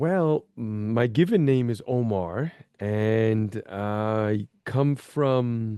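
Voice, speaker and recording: A man's dark, mellow voice at a medium pitch, speaking very slowly. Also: ordinary pitch variation. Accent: Brooklyn. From New York City, Brooklyn. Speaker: spiritual healer. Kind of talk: podcast interview.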